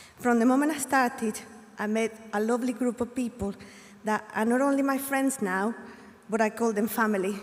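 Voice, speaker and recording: Against noticeable background noise, a woman with a Spanish accent speaks at a fairly high pitch with fairly even intonation. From Colombia. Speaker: graduating student. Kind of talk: graduation speech.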